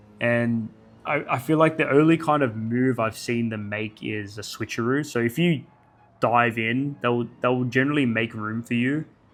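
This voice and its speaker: Music in the background behind a man's moderately paced speech of ordinary pitch variation. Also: medium pitch for a man. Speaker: gaming youtuber. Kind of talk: casual video commentary. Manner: halting, self-correcting.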